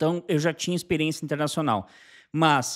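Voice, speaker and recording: A man's voice against a quiet background. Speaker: channel host. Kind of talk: casual vlog chat. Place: home room. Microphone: studio mic.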